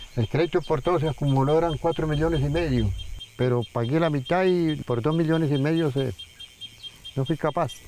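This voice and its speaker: A man speaks at a fairly quick pace in a fairly high pitch, with very even loudness, ordinary pitch variation and noticeable background noise. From Colombia, rural Santander near Barichara. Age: 70s. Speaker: elderly farmer. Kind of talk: documentary interview testimony; casual neighbor chat.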